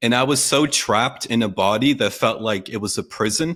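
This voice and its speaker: Over a very clean recording with a silent background, a man talks at a moderate pace. He has a plain, everyday voice and ordinary pitch variation. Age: 30s. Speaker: copywriter and online entrepreneur. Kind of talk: casual chat.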